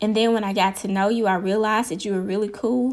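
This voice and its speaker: On a very clean recording with a silent background, a woman speaks. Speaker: podcast host. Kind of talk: inspirational podcast monologue.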